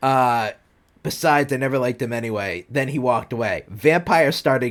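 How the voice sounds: A natural reading voice, intonation fairly even throughout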